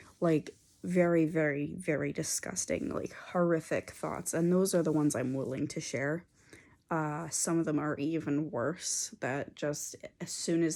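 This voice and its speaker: Recorded very cleanly against a silent background, a woman with an American accent speaks in a very deep, low pitch with ordinary pitch variation. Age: 20s. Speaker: mental health vlogger. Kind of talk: personal vlog. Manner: hesitant, many fillers.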